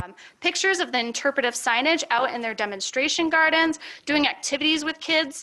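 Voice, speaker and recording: A woman projects a raised voice, high-pitched and bright, sharp in tone, with lively intonation. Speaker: horticulture educator. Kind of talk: conference presentation. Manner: fast; animated.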